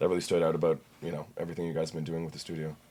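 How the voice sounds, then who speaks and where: The recording is very clean with a silent background. In it, a man talks. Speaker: podcast host and gym owner. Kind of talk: casual interview. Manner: loud; halting, repeats words.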